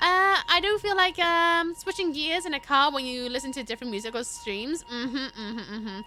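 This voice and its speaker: A woman speaks in a raised, projected voice, high-pitched with very wide pitch swings. Music plays in the background. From Wales. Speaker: gaming streamer. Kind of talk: casual live-stream chat while gaming. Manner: very fast; animated.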